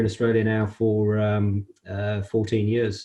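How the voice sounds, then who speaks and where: A man speaks at medium pitch with a British accent. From UK. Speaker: construction industry executive. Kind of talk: interview. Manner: hesitant, many fillers.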